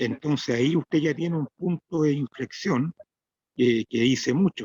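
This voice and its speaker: A plain, everyday voice from a man, fairly high in pitch, with ordinary pitch variation and a fairly slow pace. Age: 60s. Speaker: interviewer. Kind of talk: interview.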